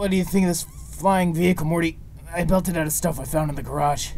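A man puts on a strained, raspy character voice, high-pitched and very fast, over clear background noise. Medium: fan dub. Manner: rambling, slurred, repetitive, manic.

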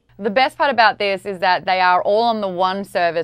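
A woman with an Australian accent at a moderate pace, ordinary pitch variation, dry sound with no echo and a quiet background. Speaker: pop culture commentator. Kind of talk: promotional interview segment. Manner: animated. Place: studio. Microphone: lapel.

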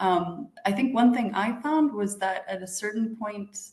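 The voice carries an American accent and ordinary pitch variation. There is audible room echo over a quiet background. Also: woman. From United States. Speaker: international organization executive, PhD alumna; panelist. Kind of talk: panel talk. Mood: friendly, reflective. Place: home room. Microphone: video call.

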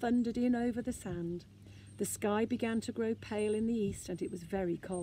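The voice is plain reading aloud. Pitch variation is ordinary.

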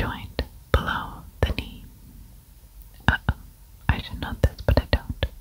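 The speaker whispers in a soft-spoken way at a fairly slow pace. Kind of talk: casual think-aloud commentary. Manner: soft ASMR whisper.

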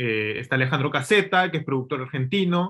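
Lively intonation marks this man's speech against a quiet background. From Peru. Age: 30s. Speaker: film director and screenwriter; interview guest. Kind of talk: casual interview. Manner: hesitant, repeats words. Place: home room. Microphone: video call.

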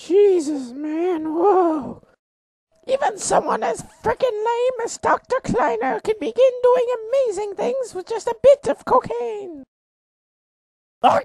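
Pitched extremely high, a man speaks at a fairly slow pace with very wide pitch swings and long, frequent pauses. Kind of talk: comic overacting infomercial pitch. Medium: machinima. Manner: manic, shouty, erratic, aggressive.

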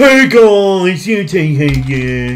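This man puts on a character voice pitched high. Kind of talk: casual online video. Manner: hyped-up, enthusiastic.

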